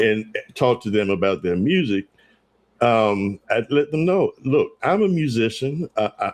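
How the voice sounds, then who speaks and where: The pitch swings very widely at a fairly slow pace. The background is quiet. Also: man, medium pitch for a man. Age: 60s. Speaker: gospel radio station owner. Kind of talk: interview.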